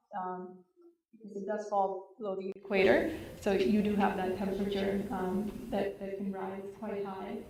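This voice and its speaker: With audible room echo, a woman at a medium pitch talks at a moderate pace in a monotone, flat intonation. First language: Hindi. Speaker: community presenter. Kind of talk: presentation to audience. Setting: community center hall with audience. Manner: frequent filler ums.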